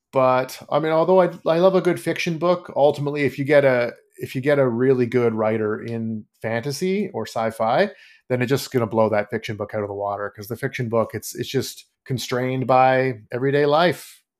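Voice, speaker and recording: A man with a Canadian accent talks at a fairly quick pace in an ordinary speaking voice, on a very clean recording with a silent background. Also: medium pitch for a man. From Canada. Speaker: fantasy author. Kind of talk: interview.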